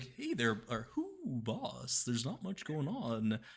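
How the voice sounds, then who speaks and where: Speaking at a fairly slow pace, a man puts on a character voice. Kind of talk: casual, slangy. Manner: casual, laid-back, chatty.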